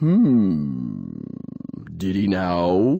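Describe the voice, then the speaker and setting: A put-on character voice sits low in pitch and rumbles. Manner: slow, unhurried.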